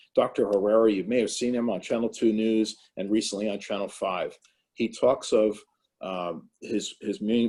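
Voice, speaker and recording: New Jersey accent at a moderate pace, on a very clean recording with a silent background. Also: man. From New Jersey, Morris County. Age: 60s. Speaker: town mayor. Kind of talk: panel discussion. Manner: halting, many fillers.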